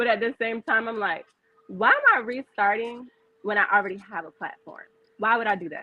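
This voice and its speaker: With an American accent, a woman speaks fairly quickly at a fairly high pitch, with ordinary pitch variation and big swings in loudness. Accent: Virginia accent with some New York. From Virginia. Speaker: business owner. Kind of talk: casual interview chat.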